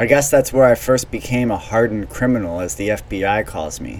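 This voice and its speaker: A normal speaking voice from a man, medium in pitch, with ordinary pitch variation and a moderate pace. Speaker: podcast host. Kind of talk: scripted narration.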